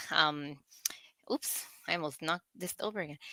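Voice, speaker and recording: A woman's bright, sharp voice with a Spanish accent, ordinary pitch variation, and dry, close sound with no echo. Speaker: nurse, recurring segment co-host. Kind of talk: live podcast chat, reading viewer comments.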